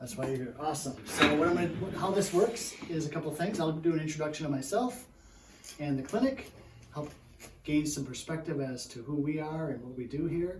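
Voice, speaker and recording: Audible room echo and noticeable background noise surround this man's voice. He speaks at a fairly quick pace in a fairly high pitch, with ordinary variation. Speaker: physical therapist. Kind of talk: workshop presentation. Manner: sometimes softer.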